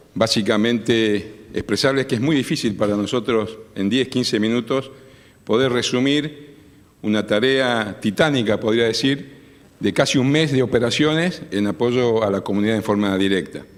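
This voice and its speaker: In a very clean recording with a silent background, a man speaks at medium pitch and a moderate pace, his loudness very even. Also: ordinary pitch variation. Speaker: army colonel. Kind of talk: formal speech. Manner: formal.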